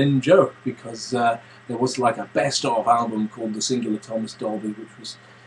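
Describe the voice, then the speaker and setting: Fairly quick, fairly even speech from a man, with noticeable background noise. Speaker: vlogger and music composer. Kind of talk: casual webcam vlog. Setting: home studio, webcam. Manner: hesitant, many fillers.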